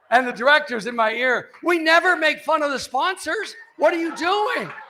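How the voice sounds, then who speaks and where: Raising and projecting his voice, a man speaks in an animated tone at an extremely high pitch. Noticeable background noise is present. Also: lively intonation, moderate pace. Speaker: sports columnist and keynote speaker. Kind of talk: after-dinner speech with humorous stories.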